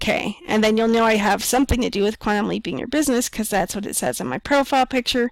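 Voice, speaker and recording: A woman speaks very fast with hardly any pauses, her voice fairly high with ordinary pitch variation. The sound is dry and close with no echo, though background noise is noticeable. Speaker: business coach. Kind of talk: tutorial.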